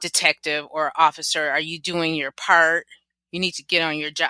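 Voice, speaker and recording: A woman puts on a whiny character voice, fairly low-pitched and monotone with flat intonation, at a moderate pace. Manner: whining, complaining.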